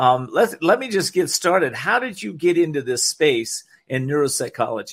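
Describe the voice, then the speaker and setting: A man's high voice with a warm, soothing tone, very wide pitch swings and a moderate pace. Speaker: radio talk show host. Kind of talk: live-read radio infomercial for a CBD product. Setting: radio studio. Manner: warm, friendly pitchman tone, pitching with soothing conviction; casual and slightly halting, with frequent fillers.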